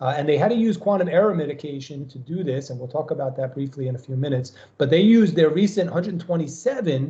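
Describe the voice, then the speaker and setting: A man talks at a very fast pace with an American accent. His pitch varies in an ordinary way. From New York. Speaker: professor. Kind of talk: lecture.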